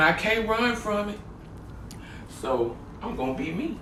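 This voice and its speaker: Room echo is audible, along with noticeable background noise. Through it, a man talks at an even, moderate speed. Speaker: home cooking channel host. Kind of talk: cooking tutorial. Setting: home kitchen. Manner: loud; casual, chatty.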